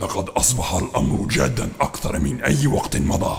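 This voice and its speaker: A man's put-on character voice, solemn in tone and fairly slow in pace. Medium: audio drama. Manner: formal classical Arabic, solemn.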